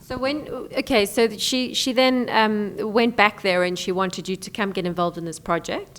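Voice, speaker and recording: Noticeable background noise sits behind a woman of medium pitch. She speaks at a moderate pace with big swings in loudness. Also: ordinary pitch variation. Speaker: interviewer, program host. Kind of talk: interview questions.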